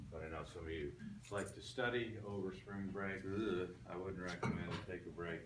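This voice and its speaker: A man with a very deep, low voice speaks at a moderate pace. There is audible room echo and noticeable background noise. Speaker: college anatomy and physiology instructor. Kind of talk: classroom lecture. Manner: casual, frequent fillers.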